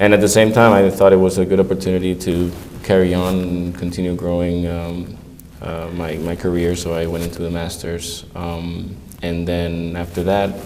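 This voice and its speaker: A man with a Spanish accent speaks at a moderate pace in a very deep, low pitch and a monotone, flat delivery, with audible room echo and noticeable background noise. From southern Spain, Andalusia. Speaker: economic analyst. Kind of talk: interview. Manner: halting, many fillers.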